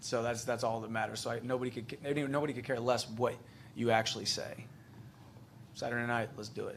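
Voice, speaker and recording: A man with an American accent at medium pitch, very fast yet with long, frequent pauses, monotone and flat, in audible room echo. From United States. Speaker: MMA fighter. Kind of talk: press conference. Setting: press conference.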